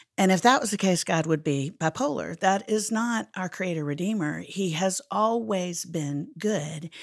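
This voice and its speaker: On a very clean recording with a silent background, a woman talks in an ordinary speaking voice at a fairly low pitch. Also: fairly slow pace. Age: 50s. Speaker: Bible teacher and speaker. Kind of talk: interview conversation.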